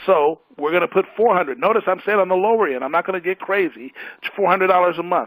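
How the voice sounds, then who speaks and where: A man's very fast, animated delivery at a high pitch, with ordinary pitch variation and a dry, close sound with no echo. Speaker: financial presenter. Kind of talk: financial presentation.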